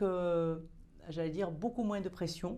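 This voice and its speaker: Her fairly low-pitched voice shows ordinary pitch variation as the woman speaks. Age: 60s. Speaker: opera singer. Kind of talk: interview. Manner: hesitant.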